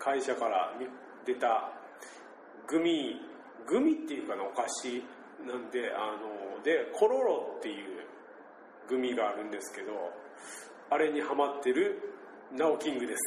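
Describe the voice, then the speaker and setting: A man with a Nagasaki accent speaks at a fairly slow pace, leaving long, frequent pauses, and his loudness swings widely. Audible room echo and noticeable background noise fill the recording. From Shimabara, Nagasaki, Japan. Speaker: podcast host. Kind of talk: casual chat.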